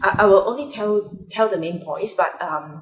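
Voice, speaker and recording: A woman speaks at medium pitch with a Mandarin accent. Her pitch swings very widely. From Malaysia, Penang. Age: adult. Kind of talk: personal vlog monologue. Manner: halting, many fillers.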